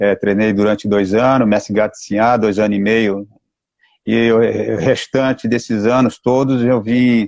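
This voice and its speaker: A man speaks fairly slowly with monotone, flat intonation at a fairly low pitch, the sound dry and close with no echo. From Mato Grosso do Sul, Brazil (Campo Grande). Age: 60s. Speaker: capoeira master. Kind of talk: live stream interview.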